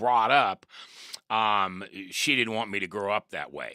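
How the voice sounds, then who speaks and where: Fairly even intonation in an American accent, on a very clean recording with a silent background. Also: man. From Nebraska, US Midwest. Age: 60s. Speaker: guest sharing personal story. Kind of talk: testimony. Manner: halting, many fillers.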